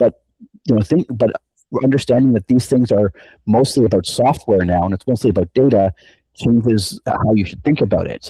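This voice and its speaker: Somewhat breathy, a man speaks at medium pitch with a dark, mellow tone and ordinary pitch variation. His pace is fairly quick, and the sound is dry and close with no echo. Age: 50s. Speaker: professor. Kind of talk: casual chat.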